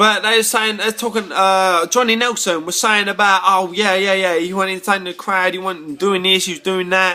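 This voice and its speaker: A man with a British accent uses a raised, projected voice, bright and sharp in tone and high in pitch. His intonation stays fairly even at a moderate pace with hardly any pauses. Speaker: boxing fan vlogger. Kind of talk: casual rant to camera. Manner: halting, repetitive.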